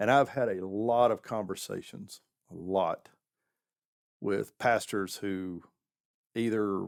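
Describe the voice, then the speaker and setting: Very slowly and with long, frequent pauses, a man with a Southern US accent talks in a fairly low pitch with fairly even intonation. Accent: Southern American. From southern United States. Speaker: pastor; military veteran. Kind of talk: podcast interview answer.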